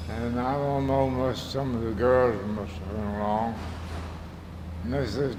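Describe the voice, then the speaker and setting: A man with a Southern US accent talks at a fairly slow pace and a medium pitch. Audible room echo and noticeable background noise surround him. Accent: Southern US rural. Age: 90s. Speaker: elderly family member interviewed. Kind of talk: oral history interview.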